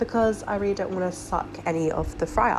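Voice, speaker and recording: A woman speaks over noticeable background noise. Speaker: hobby aquarist. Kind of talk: tutorial talk to camera. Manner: casual, many filler ums.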